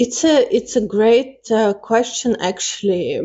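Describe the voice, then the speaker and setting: Very slow speech from a woman. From Russia, Moscow, Armenian family. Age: 30s. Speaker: interview guest. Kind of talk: interview.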